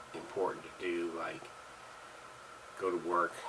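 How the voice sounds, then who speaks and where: A man speaks with a very deep, low pitch and monotone, flat intonation. Audible room echo and noticeable background noise surround him. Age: 60s. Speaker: author and gun video vlogger. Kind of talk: casual monologue. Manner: halting, many fillers.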